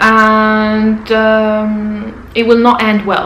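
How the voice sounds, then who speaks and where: A woman speaks with a non-native accent. The recording has audible room echo and noticeable background noise. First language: not English. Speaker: vlogger. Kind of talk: casual advice vlog.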